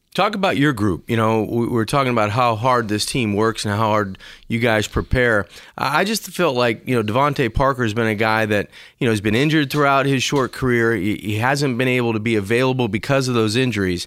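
Here is a plain, everyday voice from a man at a medium pitch with ordinary pitch variation. He moves at a fairly quick pace and keeps his loudness very even. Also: very clean recording, silent background. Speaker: radio co-host. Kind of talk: casual sports talk.

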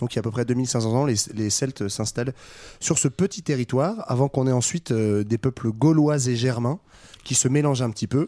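Here a man speaks at a moderate pace in a dark, mellow tone. The sound is dry and close, with no echo. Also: medium pitch for a man, ordinary pitch variation, very clean recording, silent background. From France, Saint-Etienne. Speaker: podcast panelist. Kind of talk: casual educational discussion.

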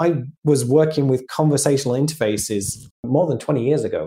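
This man has a British accent and a fairly high pitch. His tone is dark and mellow, with ordinary pitch variation. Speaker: AI strategy consultant. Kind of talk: casual interview.

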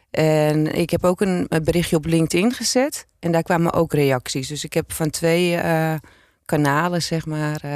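A normal speaking voice from a woman, pitched fairly low, with fairly even intonation at a fairly slow pace. The recording is very clean and the background silent. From Zaanstreek, Netherlands. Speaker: former police officer and author. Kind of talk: interview.

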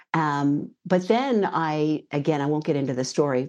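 Speaking with lively intonation, a woman with an American accent uses a very deep, low pitch against a quiet background. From US West Coast, Northern California. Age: 60s. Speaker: intuitive coach. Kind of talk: interview.

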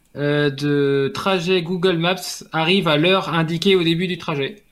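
The recording is very clean, with a silent background. This man talks in a high pitch. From France. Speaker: tech columnist. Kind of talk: casual chat.

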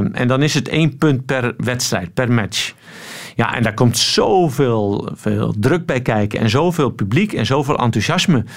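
A man speaks at a medium pitch with lively intonation and very even loudness. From Netherlands. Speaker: swimming coach. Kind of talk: radio interview.

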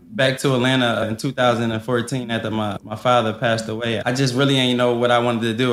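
Noticeable background noise sits behind a man whose medium pitch, fairly quick pace and monotone, flat intonation stay constant. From US Northeast, West Philadelphia. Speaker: restaurant owner. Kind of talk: casual interview.

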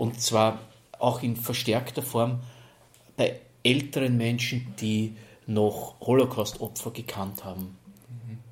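Speaking at a very slow pace with long, frequent pauses, a man has a somewhat breathy, medium-pitched voice and fairly even intonation. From Lower Austria (Neunkirchen). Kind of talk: interview.

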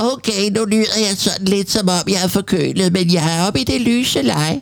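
This is a put-on character voice. It sounds nasal at a middle pitch. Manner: deliberately demonstrating a voice.

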